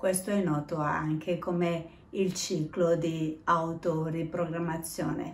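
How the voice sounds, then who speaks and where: The woman's voice sits at a fairly low pitch. She talks very slowly amid audible room echo. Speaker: self-help vlogger. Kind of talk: casual vlog talk about self-improvement. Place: home room. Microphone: phone near.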